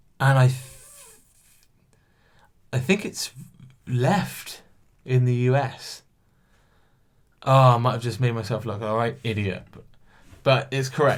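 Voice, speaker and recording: Somewhat breathy speech in a British accent, at a fairly slow pace, with ordinary pitch variation, long, frequent pauses and big swings in loudness. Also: man, medium pitch for a man. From England. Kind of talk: casual podcast talk to camera. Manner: casual, chatty.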